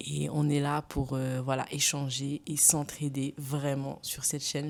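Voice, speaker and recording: A woman's very deep, low-pitched voice moves at a very slow pace. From Senegal. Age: 20s. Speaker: lifestyle YouTuber. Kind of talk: casual vlog monologue. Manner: hesitant, with fillers and restarts.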